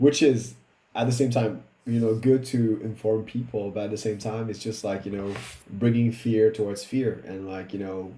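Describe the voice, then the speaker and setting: Somewhat breathy, with a dark, mellow tone and fairly low pitch, a man speaks with a French accent at a moderate pace. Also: fairly even intonation. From Réunion Island. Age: 30s. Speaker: improviser and musician. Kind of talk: casual chat. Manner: halting, many fillers and restarts.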